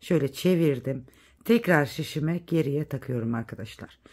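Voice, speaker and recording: A woman's very deep, low voice with lively intonation. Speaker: knitting tutorial youtuber. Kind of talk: tutorial. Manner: counting stitches aloud.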